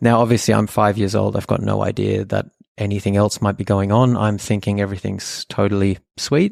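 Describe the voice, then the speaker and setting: In a very clean recording with a silent background, a man with an Australian accent speaks at a fairly quick pace. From Australia, Sydney (Epping), German family. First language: German. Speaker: podcast co-host and meditation school co-founder. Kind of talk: personal storytelling, casual chat.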